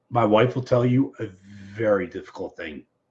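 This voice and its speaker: This man's voice sits at a medium pitch. It carries a somewhat breathy quality. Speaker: show host. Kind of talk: casual live stream chat. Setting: live stream on personal social media page.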